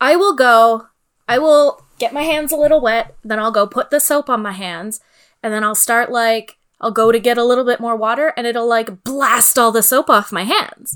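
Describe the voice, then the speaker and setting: A woman with a Canadian accent talks at a moderate pace. Her pitch sits fairly high, with ordinary variation. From Northern Ontario, Canada (Sault Ste. Marie). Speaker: podcast co-host. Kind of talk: casual chat. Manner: animated.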